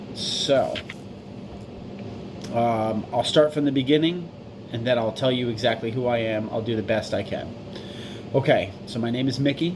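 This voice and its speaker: A man's medium-pitched voice at a moderate pace, with long, frequent pauses, ordinary pitch variation, noticeable background noise and audible room echo. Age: 40s. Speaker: vlogger seeking medical help. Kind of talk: personal video appeal. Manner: stumbling, mumbling; halting.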